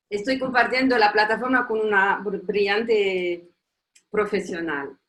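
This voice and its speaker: A woman with a non-native accent and a fairly high voice talks fairly slowly. Her pitch varies in an ordinary way. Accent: foreign accent in Spanish. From Tunisia. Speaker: professor. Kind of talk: conference talk. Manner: halting.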